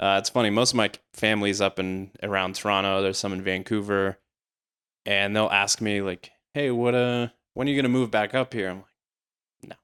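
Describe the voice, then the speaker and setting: Against a silent background in a very clean, dry, close recording with no echo, a man with an American accent talks fairly quickly at fairly low pitch, with fairly even intonation and long, frequent pauses. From Georgia, US South. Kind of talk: casual chat.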